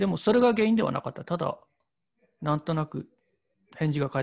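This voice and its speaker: A somewhat breathy male voice at a fairly quick pace, with lively intonation and a dry, close sound with no echo. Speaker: painter. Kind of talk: casual chat.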